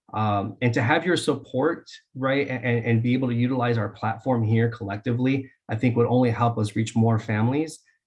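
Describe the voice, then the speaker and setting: With fairly even intonation, a man's voice comes across somewhat breathy. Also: medium pitch for a man, fairly quick pace. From Dixon, California, US. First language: Spanish. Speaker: school board candidate. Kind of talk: candidate interview. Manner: halting, many fillers.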